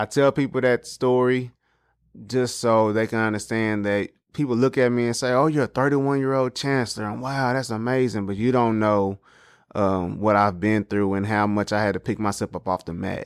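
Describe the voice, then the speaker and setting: A man with an American accent speaks at medium pitch and a moderate pace, with an ordinary speaking voice and ordinary pitch variation. The recording is very clean and dry, close-miked with no echo against a silent background. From Texas, Dallas. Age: 30s. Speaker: school principal. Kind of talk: podcast interview.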